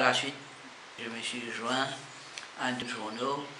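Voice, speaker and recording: A man speaks at medium pitch and a very slow pace, with monotone, flat intonation. Noticeable background noise runs behind him. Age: 70s. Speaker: journalist. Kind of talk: interview answer.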